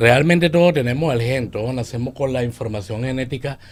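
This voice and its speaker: Speaking at a fairly quick pace with a Venezuelan accent, a man keeps a medium pitch and ordinary pitch variation on a very clean recording with a silent background. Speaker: leadership coach. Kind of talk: radio interview.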